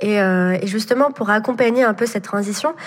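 A woman with a fairly high pitch and ordinary pitch variation amid noticeable background noise. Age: 20s. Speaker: entrepreneur. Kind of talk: interview. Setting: remote recording. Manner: hesitant, many fillers.

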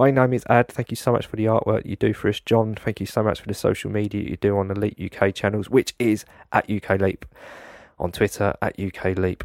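A man's normal speaking voice, fairly low in pitch, at a moderate pace, dry and close with no echo. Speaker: podcast host. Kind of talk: interview discussion.

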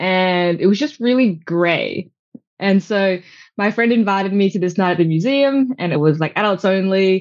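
A woman with an Australian accent speaks at a medium pitch and moderate pace, with ordinary pitch variation. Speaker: endurance cyclist and hula hooper. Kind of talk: casual interview chat. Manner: animated.

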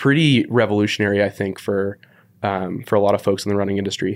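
A man with a West Coast US accent talks at a fairly low pitch in a very clean recording with a silent background. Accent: General American, West Coast. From US West Coast, San Francisco. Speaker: running editor and podcast host. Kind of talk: casual chat. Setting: studio.

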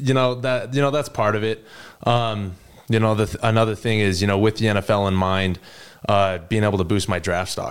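In an unremarkable speaking voice, a man talks at a fairly quick pace and a fairly low pitch with fairly even intonation. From Utah, US. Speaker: college football player. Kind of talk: interview.

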